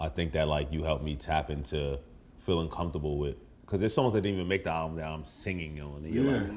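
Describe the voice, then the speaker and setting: Talking at a very fast pace, a man with a very deep, low pitch and a New York accent uses ordinary pitch variation. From New York (Brooklyn). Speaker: rapper. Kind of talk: casual chat. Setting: in a house with friends over food. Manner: animated.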